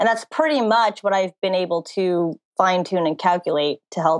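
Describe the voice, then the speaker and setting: A plain, everyday voice from a woman, fairly low in pitch, moderate in pace, with ordinary pitch variation and a dry, close sound with no echo. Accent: American. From New Jersey. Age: 20s. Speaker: dating coach. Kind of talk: casual interview.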